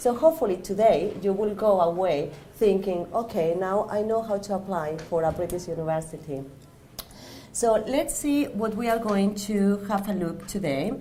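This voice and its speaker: A woman with a Spanish accent, medium in pitch, at a moderate pace, with very wide pitch swings and audible room echo. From Spain. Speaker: university staff member. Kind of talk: presentation. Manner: halting.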